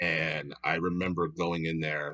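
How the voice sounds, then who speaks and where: A man speaks with an American accent. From Philadelphia, Pennsylvania. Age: 40s. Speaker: improv comedian. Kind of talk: casual chat.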